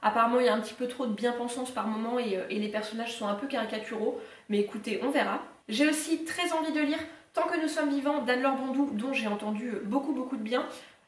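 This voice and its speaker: A woman talks at a very fast pace in a high pitch with ordinary pitch variation. Audible room echo surrounds her voice. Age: 20s. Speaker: book YouTuber. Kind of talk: casual talk to camera, book haul. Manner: very relaxed, half-asleep. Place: home room. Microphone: camera far.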